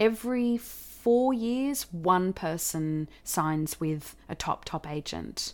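A woman speaks at medium pitch with ordinary pitch variation. The recording is very clean, with a silent background. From Australia. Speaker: actor and theatre director. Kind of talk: interview.

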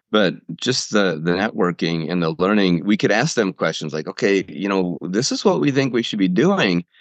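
Against a quiet background, a man with a very deep, low voice talks at a moderate pace with lively intonation and hardly any pauses. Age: 60s. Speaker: engineer and author. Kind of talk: casual interview.

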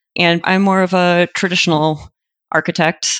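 A woman with an unremarkable speaking voice and an American accent, at a moderate pace with fairly even intonation. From Michigan (Detroit area). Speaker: architect, project manager. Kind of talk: interview.

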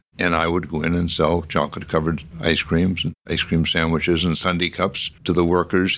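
In a very clean recording with a silent background, a man with an American accent and a very deep, low voice speaks fairly quickly in a monotone, flat intonation. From Boston area, Massachusetts (Medford). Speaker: real estate founder and philanthropist. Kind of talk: interview. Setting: studio.

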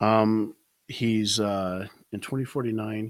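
The voice is soft-spoken. It moves at a very slow pace. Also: man. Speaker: musician and returning podcast guest. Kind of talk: casual chat. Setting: remote call from home. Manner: halting.

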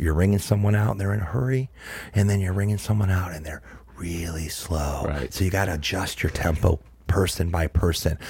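Over noticeable background noise, a man with an American accent talks fairly quickly at a very deep, low pitch with ordinary pitch variation. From Ohio, Cleveland. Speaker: handbag brand founder. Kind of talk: casual interview. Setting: live recording in a trailer. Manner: animated.

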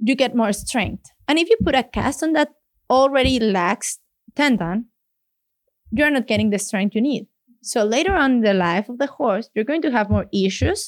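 A woman speaks at a high pitch and moderate pace with lively intonation, in a dry, close sound with no echo on a very clean recording with a silent background. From Mexico City, Mexico. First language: Spanish. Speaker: veterinarian. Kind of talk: casual interview. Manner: laughs often.

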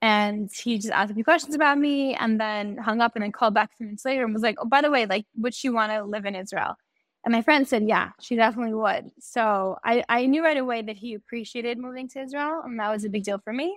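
With a New York accent, a woman talks at a very fast pace with hardly any pauses and ordinary pitch variation. The recording is very clean with a silent background and a dry, close sound with no echo. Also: fairly high pitch for a woman. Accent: New York American. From New York, Long Island. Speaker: teacher and podcaster. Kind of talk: casual interview chat.

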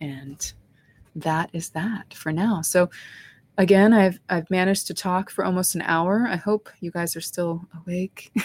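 A woman's somewhat breathy voice at a fairly low pitch, fairly even in intonation and fairly slow, in a dry, close sound with no echo. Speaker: spiritual life coach and medium host. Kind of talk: guided meditation, calm soothing instructions over background music. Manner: slow, soft-spoken, gentle, unhurried pacing with pauses; reassuring, soothing, calm.

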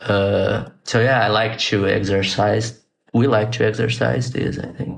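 At a fairly slow pace, a man speaks with vocal fry, a fairly low pitch and fairly even intonation. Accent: Portuguese. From Brazil. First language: Portuguese. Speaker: designer and animator. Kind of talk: casual interview. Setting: video call. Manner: halting, with repetitions.

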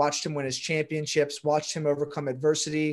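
In an American accent, a man with a fairly high pitch talks at a very fast pace over a quiet background. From Baltimore, Maryland. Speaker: real estate broker and SEO coach. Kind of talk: casual interview chat.

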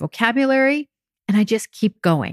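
Here is a woman with an ordinary speaking voice and lively intonation. She speaks at a moderate pace, and the sound is dry and close with no echo. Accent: American. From France and US. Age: 50s. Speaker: podcast host and weight loss coach. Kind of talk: solo podcast monologue.

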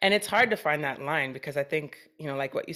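A woman is speaking. Her pace is fairly quick. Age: 40s. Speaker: podcast host. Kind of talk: casual interview chat.

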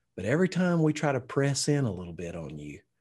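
Against a quiet background, a somewhat breathy man speaks fairly high in pitch with a Southern US accent. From Alabama, US South. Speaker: pastor and leadership coach. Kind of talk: interview.

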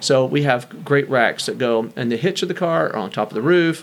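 Here a man speaks with an American accent at medium pitch. He has an unremarkable speaking voice with ordinary pitch variation. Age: 50s. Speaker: bike shop owner. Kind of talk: casual interview.

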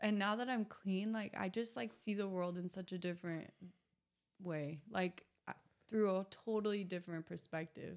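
A woman with an American accent has a plain, everyday voice at a medium pitch. She talks at a moderate pace with ordinary pitch variation. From US Pacific Northwest (Southern Oregon, Ashland). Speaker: recovering addict and model. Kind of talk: casual interview.

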